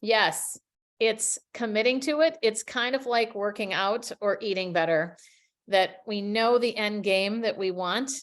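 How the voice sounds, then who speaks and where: Speaking with a plain, everyday voice and an American accent, a woman keeps to a fairly slow pace with a fairly high pitch and ordinary pitch variation. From US Midwest, Minnesota. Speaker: communication coach. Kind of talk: webinar presentation.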